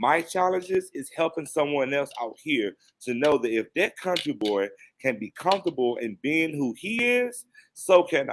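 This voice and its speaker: Very wide pitch swings in a man's fairly high voice, delivered at a moderate pace. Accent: Virginia. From US South, Danville Virginia. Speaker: counselor. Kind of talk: podcast interview.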